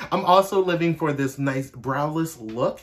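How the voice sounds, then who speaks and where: His voice is somewhat breathy, with ordinary pitch variation. The man talks at a fairly slow pace. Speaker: makeup artist. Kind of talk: makeup tutorial. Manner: casual.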